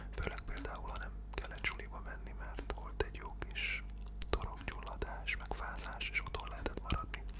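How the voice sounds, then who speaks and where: A soft-spoken man is whispering. Noticeable background noise can be heard. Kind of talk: ASMR whispered talk with book showing. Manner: whispered, soft-spoken.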